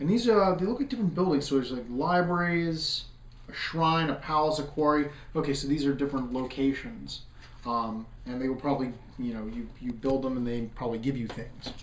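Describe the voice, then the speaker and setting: A man's fairly high-pitched voice with lively intonation, audible room echo and noticeable background noise. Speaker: board game reviewer and host. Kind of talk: unboxing video. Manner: fast; hesitant, many fillers.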